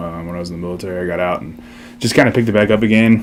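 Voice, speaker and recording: A man with an American accent and a very deep, low pitch is heard with audible room echo and noticeable background noise. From Texas, Seguin. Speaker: skate shop co-owner, military veteran. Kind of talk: interview. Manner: hesitant, many fillers.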